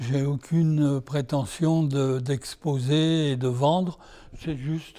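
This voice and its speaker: A man's fairly high voice moves at a very slow pace with fairly even intonation. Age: 80s+. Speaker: amateur painter. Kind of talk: interview. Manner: hesitant.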